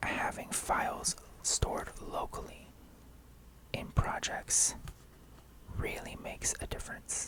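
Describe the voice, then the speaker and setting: A man is whispering at a very slow pace over noticeable background noise. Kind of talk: ASMR unboxing. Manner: whispered.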